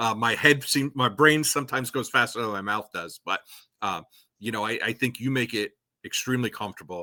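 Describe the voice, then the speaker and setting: A bright, sharp tone comes with ordinary pitch variation. The recording is very clean with a silent background and a dry, close sound with no echo. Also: man, medium pitch for a man. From New York State. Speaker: parks and recreation leader. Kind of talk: casual interview chat. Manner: fast; halting, trips over words.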